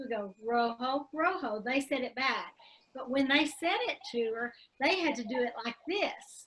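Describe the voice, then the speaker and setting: With a Southern US accent, a woman speaks at a moderate pace in a high voice with lively intonation. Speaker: online teacher. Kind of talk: casual chat. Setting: video call.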